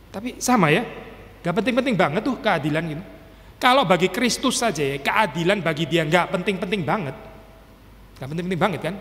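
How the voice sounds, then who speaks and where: A man speaks with a high pitch and lively intonation. His pace is very fast. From Indonesia. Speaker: pastor. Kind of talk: sermon. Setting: church. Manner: casual, code-switching with English. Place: church. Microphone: podium.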